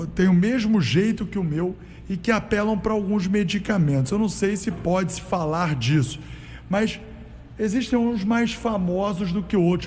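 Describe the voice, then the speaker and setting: Room echo is audible as a man talks at a fairly slow pace. His voice is high, with lively intonation. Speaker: radio host. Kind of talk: radio interview. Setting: radio studio.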